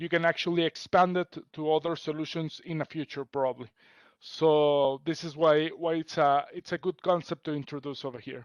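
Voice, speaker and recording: A man speaks at a fairly high pitch and moderate pace with fairly even intonation. The sound is dry and close with no echo, against a quiet background. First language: not English (English is third language). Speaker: technical account manager. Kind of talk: webinar training presentation. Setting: recorded webinar. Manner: hesitant, many fillers.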